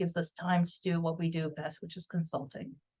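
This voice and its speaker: The speech goes by at a very fast pace. The voice is somewhat breathy. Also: woman. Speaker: audio company research executive. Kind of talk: webinar presentation. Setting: video webinar.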